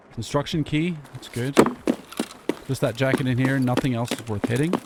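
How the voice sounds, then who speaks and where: Against noticeable background noise, the voice moves at a moderate pace with fairly even intonation. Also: man, medium pitch for a man. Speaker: gaming video creator. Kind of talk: gameplay commentary. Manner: casual.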